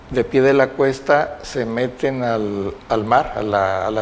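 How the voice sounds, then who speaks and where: Noticeable background noise runs through the clip. A man speaks at a medium pitch. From Mexico, Acapulco, Guerrero. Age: 70s. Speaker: oral history witness. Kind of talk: oral history interview testimony. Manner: halting, with fillers and repetitions.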